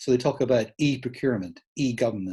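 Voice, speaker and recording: In a Scottish accent, a man talks at a medium pitch with ordinary pitch variation and a somewhat breathy sound. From Scotland, Edinburgh. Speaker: smart city speaker, former tech company employee. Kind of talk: conference talk. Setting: online event. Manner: casual, conversational.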